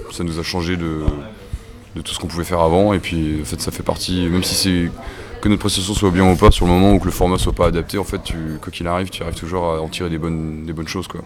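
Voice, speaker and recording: Over noticeable background noise, a man talks at a very fast pace in a very deep, low pitch with a monotone, flat intonation. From Brittany, Côtes d'Armor (near Paimpol). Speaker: rock musician. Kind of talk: interview. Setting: music festival. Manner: casual, hesitant.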